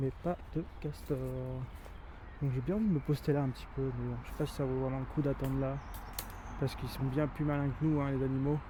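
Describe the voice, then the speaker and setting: Delivery is fairly quick with fairly even intonation, broken by long, frequent pauses. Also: man, medium pitch for a man. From France, Rhône valley near Vienne (Isère). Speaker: nature guide and YouTuber. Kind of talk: outdoor vlog commentary. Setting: outdoors by the river at sunset. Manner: hesitant, many fillers; soft-spoken, quiet.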